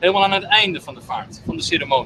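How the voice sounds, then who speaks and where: Over noticeable background noise, a man projects a raised voice at a fairly quick pace. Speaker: funeral service guide. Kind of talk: guided tour explanation. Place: boat. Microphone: camera far.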